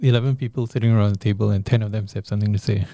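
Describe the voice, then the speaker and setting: A man speaks at a very fast pace with ordinary pitch variation and a somewhat breathy, dark, mellow tone. The sound is dry and close with no echo, on a very clean recording with a silent background. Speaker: politician and infectious disease professor. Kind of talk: interview.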